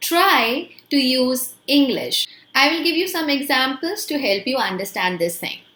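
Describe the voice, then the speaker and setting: In an Indian accent, a woman uses a raised, projected voice with a high pitch, a bright, sharp tone and very wide pitch swings at a fairly slow pace. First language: Hindi. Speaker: English teacher. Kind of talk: tutorial.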